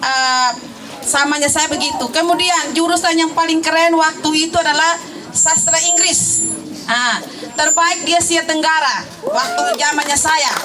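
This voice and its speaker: Over noticeable background noise and audible room echo, a woman projects a raised voice at an extremely high pitch, keeping her loudness very even and her intonation fairly even. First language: Tetum (speaking Indonesian). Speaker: alumna, teacher. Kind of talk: testimony.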